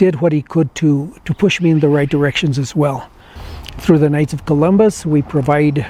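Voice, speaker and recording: Over noticeable background noise, a man talks with fairly even intonation at a fairly high pitch. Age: 60s. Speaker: retired educator, award honoree. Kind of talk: personal testimony and acceptance speech. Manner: halting, unscripted.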